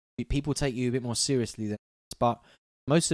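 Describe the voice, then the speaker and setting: Quiet, fairly quick speech in a London accent, with fairly even intonation and a dry, close sound with no echo. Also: man. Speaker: music producer. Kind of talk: live-stream tutorial. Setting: live stream. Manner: casual, hesitant.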